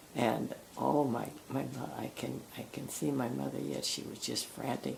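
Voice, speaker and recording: Noticeable background noise fills the clip. Over it, a woman talks at a fairly slow pace. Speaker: retired nurse. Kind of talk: oral history reminiscence.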